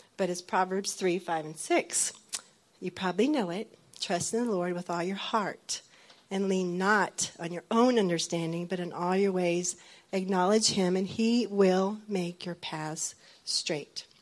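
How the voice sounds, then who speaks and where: At a fairly slow pace, a normal speaking voice carries fairly even intonation. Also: woman, medium pitch for a woman. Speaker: military wife. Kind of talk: testimony.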